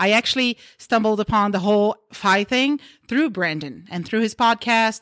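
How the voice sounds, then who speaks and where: A woman's fairly high voice in a Portuguese accent at a moderate pace, on a very clean recording with a silent background. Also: ordinary pitch variation, dry, close sound with no echo. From Brazil. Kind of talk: group discussion around a table.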